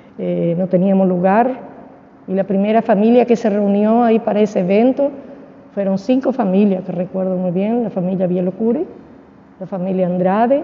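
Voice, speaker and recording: A woman at a medium pitch speaks at a moderate pace with ordinary pitch variation over noticeable background noise. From Argentina, Misiones province. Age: 70s. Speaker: church deaconess. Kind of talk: interview testimony. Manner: halting, with many fillers.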